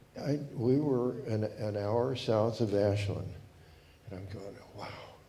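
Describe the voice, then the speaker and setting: Amid noticeable background noise and audible room echo, a man speaks very slowly at a fairly low pitch with ordinary pitch variation and big swings in loudness. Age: 80s+. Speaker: audience member. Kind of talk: audience question. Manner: halting.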